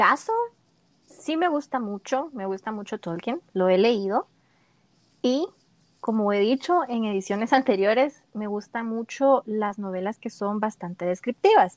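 Against a quiet background, a woman with a plain, everyday voice speaks at a fairly slow pace, her fairly high pitch carrying lively intonation in a dry, close sound with no echo. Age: 20s. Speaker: podcast co-host. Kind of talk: casual chat.

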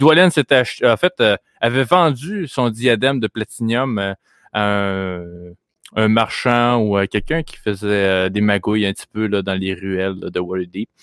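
A man speaks very slowly in a Quebec accent, his pitch fairly low. His pitch varies in an ordinary way. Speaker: game master of a tabletop role-play podcast. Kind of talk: tabletop game narration. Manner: halting, with frequent fillers and repeats.

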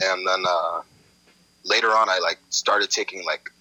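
Over noticeable background noise, a man talks at a fairly quick pace, the sound dry and close with no echo. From Los Angeles (Inglewood), US. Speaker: hip hop artist. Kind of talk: casual chat.

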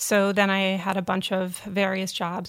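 A woman with an American accent speaks at a moderate pace and medium pitch in an unremarkable speaking voice. The recording is very clean with a silent background. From Vermont, US. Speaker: magazine editor. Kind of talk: interview conversation.

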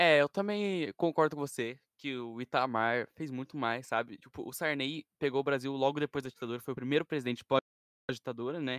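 A man with a normal speaking voice at a medium pitch moves at a moderate pace with hardly any pauses, in a very clean recording with a silent background and a dry, close sound with no echo. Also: ordinary pitch variation. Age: young. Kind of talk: casual chat.

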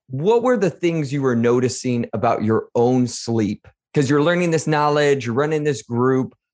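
A fairly high-pitched man at a fairly slow pace, with lively intonation and an enthusiastic tone, against a quiet background. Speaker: podcast host. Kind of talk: casual interview.

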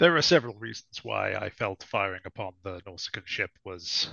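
Putting on a raspy character voice, a man talks at a moderate pace and a fairly low pitch. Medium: actual play. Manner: formal, solemn, dignified.

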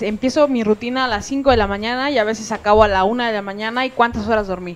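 This woman talks at a very fast pace with a fairly high pitch. Her pitch variation is ordinary. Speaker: comedian. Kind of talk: casual chat. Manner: speaks with authority.

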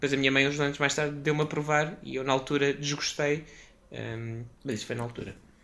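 A man speaks at a fairly quick pace in a fairly high pitch, his tone bright and sharp and his intonation fairly even. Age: 30s. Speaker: podcast host, guest on gaming podcast. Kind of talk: casual chat.

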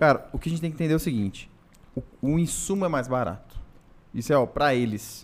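A man at a very fast pace, lively in intonation, with long, frequent pauses. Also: fairly high pitch for a man. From Brasília, Brazil. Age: 30s. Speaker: podcast co-host. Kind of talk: casual chat.

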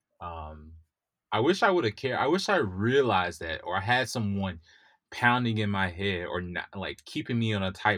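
On a very clean recording with a silent background, a man with an American accent talks at a moderate pace in a normal speaking voice, fairly low in pitch, with ordinary pitch variation. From US South, Mississippi. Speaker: software engineer. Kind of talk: interview.

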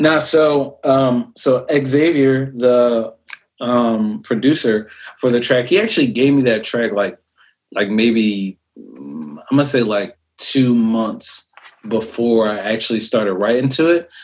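A man with an American accent at a medium pitch, at a very slow pace, with ordinary pitch variation. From New York. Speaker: rapper. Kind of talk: interview. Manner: casual, halting with fillers.

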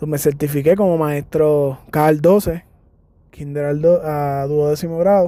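Speaking fairly slowly with a Puerto Rican accent, a man with a fairly high, dark and mellow voice keeps his intonation fairly even. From Puerto Rico, San Germán. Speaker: podcast host, physical education teacher. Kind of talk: podcast monologue introduction. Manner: hesitant with fillers.

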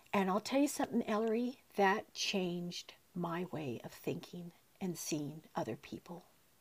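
A woman's somewhat breathy, fairly low voice moves at a moderate pace with very wide pitch swings. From US West, San Diego County. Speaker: aunt of the host, mother. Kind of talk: casual interview.

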